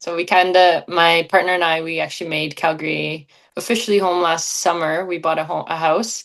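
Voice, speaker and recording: Speaking at a fairly quick pace, a woman keeps a monotone, flat intonation. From western Canada. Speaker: Olympic skeleton athlete. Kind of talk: interview.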